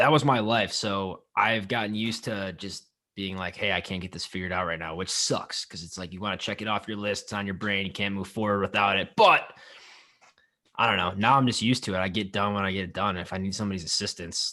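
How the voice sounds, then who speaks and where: Loud and at a very fast pace, a man with a fairly low pitch and a bright, sharp tone keeps his intonation fairly even against a quiet background. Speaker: podcast co-host. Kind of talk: casual chat.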